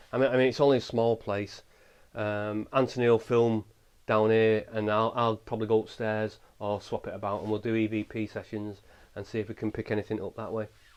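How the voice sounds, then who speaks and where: Against a quiet background, a man with an English accent talks at a fairly quick pace and a medium pitch. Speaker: paranormal investigator. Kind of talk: ghost hunt commentary. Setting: inside a small old house. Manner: halting.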